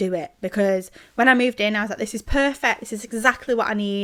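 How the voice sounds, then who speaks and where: A woman speaks very fast with a Manchester accent and a bright, sharp tone, on a very clean recording with a silent background. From northern England, Greater Manchester (Sale). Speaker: podcast co-host. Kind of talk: casual chat. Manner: animated.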